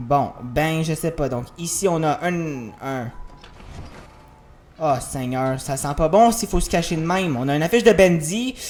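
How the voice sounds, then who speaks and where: Over music in the background, a man speaks fairly slowly at a fairly high pitch, with lively intonation and long, frequent pauses. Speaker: gaming youtuber. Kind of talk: let's play commentary. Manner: animated.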